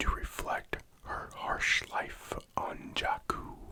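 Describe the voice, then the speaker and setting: Noticeable background noise sits under a man's whisper. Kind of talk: ASMR whispered fact narration for sleep. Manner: whispered, soft-spoken.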